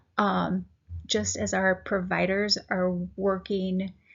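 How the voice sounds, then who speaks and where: A woman speaks in a somewhat breathy voice. Her intonation is monotone and flat. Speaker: patient support group administrator, health educator. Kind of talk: informal educational talk. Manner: hesitant, many fillers.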